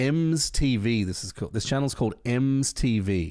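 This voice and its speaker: Recorded very cleanly against a silent background, a man with an Australian accent speaks with ordinary pitch variation. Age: 20s. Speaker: worship music streamer. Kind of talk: casual live stream chat.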